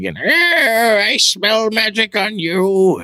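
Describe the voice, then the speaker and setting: The man adopts a put-on character voice. It is high-pitched. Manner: menacing, sinister.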